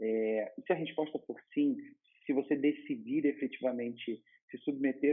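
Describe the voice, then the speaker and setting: A man speaks. His pace is fairly slow. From Rio de Janeiro, Brazil. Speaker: law master's student, vlogger. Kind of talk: advice vlog. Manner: casual, with hesitations and repetitions.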